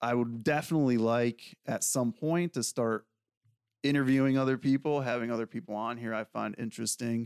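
The man has a plain, everyday voice at a medium pitch and talks at a fairly quick pace with fairly even intonation. The very clean recording has a silent background and a dry, close sound with no echo. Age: 40s. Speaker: podcast host, Marine veteran and fitness trainer. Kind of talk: solo monologue podcast. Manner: casual with frequent fillers.

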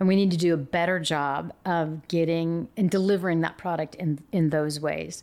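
In an American accent, the speaker keeps a fairly even intonation on a very clean recording with a silent background. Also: woman. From Yakima, Washington. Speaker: investigative TV news reporter. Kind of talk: casual interview chat. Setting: lawyer's office. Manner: talkative.

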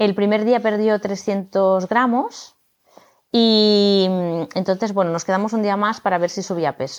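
A woman's unremarkable speaking voice at a medium pitch, fairly slow, with fairly even intonation. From Barcelona, Spain. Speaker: yoga teacher and new mother. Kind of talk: casual interview.

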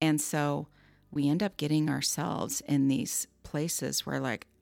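Vocal fry marks a woman's very deep, low voice as she speaks at a fairly slow pace with ordinary pitch variation. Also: very clean recording, silent background. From Southern California. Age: 50s. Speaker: life coach. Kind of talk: interview.

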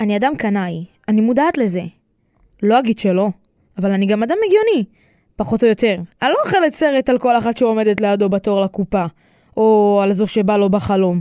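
A woman's fairly high-pitched, dark, mellow voice at a moderate pace, with ordinary pitch variation, very even loudness and long, frequent pauses, in a very clean recording with a silent background and a dry, close sound with no echo. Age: 20s. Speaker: podcast creator and narrator. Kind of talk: personal storytelling narration.

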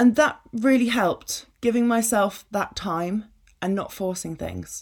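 At a fairly slow pace, a woman with an English accent speaks at a medium pitch. Her pitch varies in an ordinary way, in a very clean recording with a silent background. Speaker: podcast host, business coach. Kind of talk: personal monologue.

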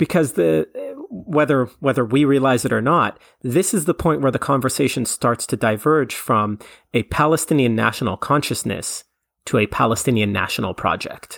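Recorded very cleanly with a silent background and a dry, close sound without echo, the voice has vocal fry, lively intonation, very even loudness and a moderate pace. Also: man, medium pitch for a man. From Canada. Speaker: history podcaster. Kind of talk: interview, historical explanation.

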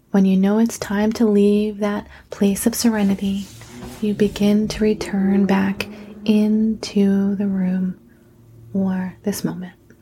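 A woman speaks at a very slow pace in a medium pitch with a gentle, soothing tone. Her intonation is monotone and flat, with noticeable background noise. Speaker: guided meditation host and nurse practitioner. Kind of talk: guided meditation. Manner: slow, soothing, calm; gentle, hushed, measured.

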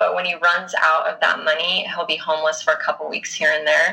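This is a woman with a Utah accent. She talks at a fairly quick pace. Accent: Utah American English. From Utah (Bountiful). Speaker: book podcast guest. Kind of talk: casual chat.

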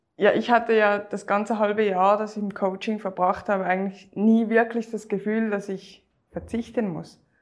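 A medium-pitched woman with a Swiss German accent, moderate pace and monotone, flat intonation. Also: hardly any pauses. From Switzerland. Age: 30s. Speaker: weight-loss coaching client. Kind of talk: interview testimony.

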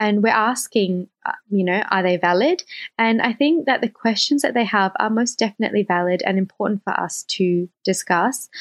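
A woman's fairly high voice with lively intonation, a moderate pace, very even loudness and hardly any pauses. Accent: Australian. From Australia. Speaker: guest co-host. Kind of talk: semi-scripted podcast discussion.

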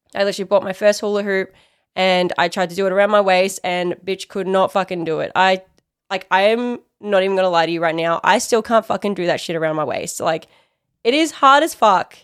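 A woman with an Australian accent talks at a fairly quick pace in an animated tone at medium pitch with ordinary pitch variation, on a very clean recording with a silent background. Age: 20s. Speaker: podcast host. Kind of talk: casual monologue.

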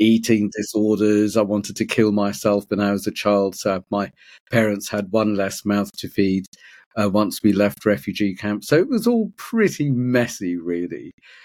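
A man with a British accent speaks at a moderate pace in a fairly low pitch and fairly even intonation, recorded very cleanly against a silent background. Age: 50s. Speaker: men's personal development coach. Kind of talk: interview.

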